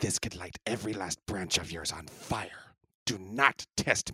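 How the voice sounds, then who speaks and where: A man does a raspy, put-on character voice at a fairly low pitch. His pace is moderate. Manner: arrogant, menacing.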